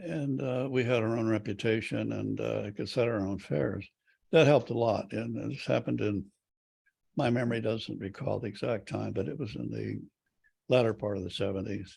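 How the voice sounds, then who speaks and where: This man's voice is fairly low and carries vocal fry. His intonation is lively. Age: 90s. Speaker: retired airline executive. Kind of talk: interview. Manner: halting, many fillers.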